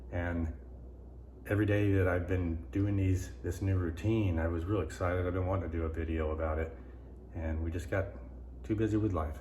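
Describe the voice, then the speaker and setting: Amid audible room echo, a man speaks somewhat breathily in a very deep, low pitch with ordinary pitch variation, at a fairly quick pace broken by long, frequent pauses. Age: 60s. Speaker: vlogger. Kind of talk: casual vlog monologue. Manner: halting, repetitive.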